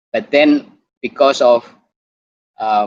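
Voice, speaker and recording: A man speaks with an Indonesian accent. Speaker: doctor and YouTuber. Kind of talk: online talk presentation. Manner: halting.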